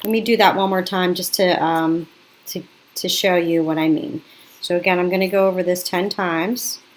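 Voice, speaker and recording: A woman speaks at a fairly quick pace in an ordinary speaking voice. Her pitch sits at a medium level with ordinary variation. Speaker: craft teacher. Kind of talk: tutorial. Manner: casual, self-correcting.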